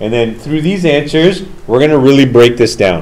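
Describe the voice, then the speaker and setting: A loud man speaks with audible room echo. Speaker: teacher. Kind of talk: classroom discussion. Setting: classroom.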